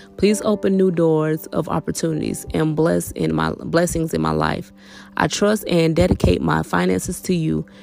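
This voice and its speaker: Moderately paced speech from a woman, with music playing behind her. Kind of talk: spoken prayer read aloud. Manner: earnest, devout direct address to God; informal, conversational with listeners.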